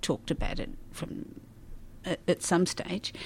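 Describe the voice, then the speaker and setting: A woman with an Australian accent, talking at a medium pace. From Melbourne, Australia. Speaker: retired primary school teacher. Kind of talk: interview.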